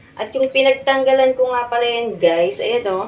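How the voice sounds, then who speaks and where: Moderate pacing from a woman, her pitch varying in an ordinary way. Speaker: gardening vlogger. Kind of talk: casual vlog tutorial. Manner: loud; animated.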